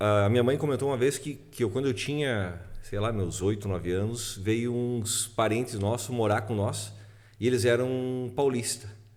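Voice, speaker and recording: A man at medium pitch and a moderate pace, fairly even in intonation, with audible room echo. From southern Brazil, Passo Fundo (Rio Grande do Sul). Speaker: music producer and musician. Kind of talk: casual chat.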